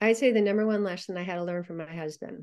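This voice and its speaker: A woman with a medium pitch speaks at a fairly quick pace, her pitch varying in an ordinary way. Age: 60s. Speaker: retired healthcare executive and nurse. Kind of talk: podcast interview.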